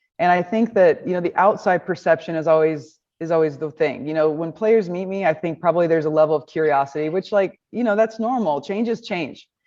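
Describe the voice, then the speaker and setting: A woman with a Midwestern US accent speaks at a fairly quick pace, her fairly low pitch varying in an ordinary way over a quiet background. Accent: US Midwest. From Nebraska. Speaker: baseball coach. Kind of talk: press conference. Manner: confident.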